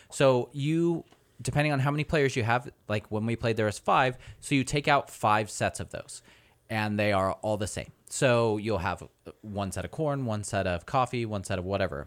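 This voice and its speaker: A normal speaking voice from a man, medium in pitch, with lively intonation, a moderate pace, and a very clean recording with a silent background. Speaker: podcast host. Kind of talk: casual chat.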